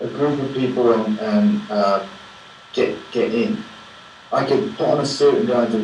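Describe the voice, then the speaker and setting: A medium-pitched male voice with very wide pitch swings, amid noticeable background noise and audible room echo. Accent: English. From England. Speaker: film director. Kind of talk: Q&A after a film screening. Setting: Skype video call from New York. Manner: hesitant, many repetitions. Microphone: low quality Skype sound.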